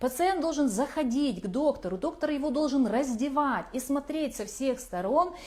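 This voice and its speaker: The delivery has lively intonation, a moderate pace and hardly any pauses. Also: woman, high pitch for a woman. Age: 40s. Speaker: craniosacral therapist, course author. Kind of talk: online lecture.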